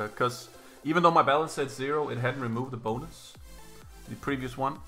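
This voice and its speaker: Over faint background music, a man talks at a very fast pace. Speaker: slots streamer. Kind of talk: casual livestream commentary. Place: home room.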